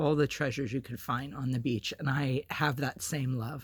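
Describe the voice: Putting on a character voice, a man sounds raspy and hoarse at a medium pitch, keeping a moderate pace with monotone, flat intonation.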